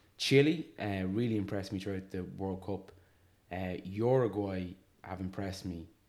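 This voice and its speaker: Very deep and low in pitch, a man talks at a moderate pace with ordinary pitch variation. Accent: Irish. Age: 30s. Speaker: sports podcast host. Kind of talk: casual chat.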